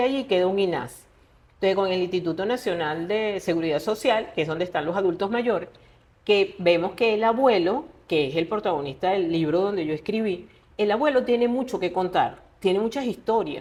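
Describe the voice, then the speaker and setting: A woman's plain, everyday voice, medium in pitch, with lively intonation and a fairly quick pace. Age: 60s. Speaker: writer. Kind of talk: interview conversation.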